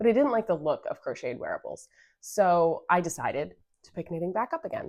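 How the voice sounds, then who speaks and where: The recording is very clean, with a silent background. A woman talks at a fairly quick pace, and her loudness swings widely. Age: 30s. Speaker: knitting video podcaster. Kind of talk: casual chat.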